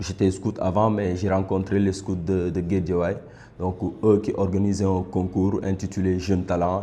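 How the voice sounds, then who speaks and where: A man talks at a fairly slow pace in a very deep, low pitch. His tone is dark and mellow, his intonation monotone and flat. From Senegal, Dakar. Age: 20s. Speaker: slam poet. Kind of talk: interview testimony. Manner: halting, repeats words.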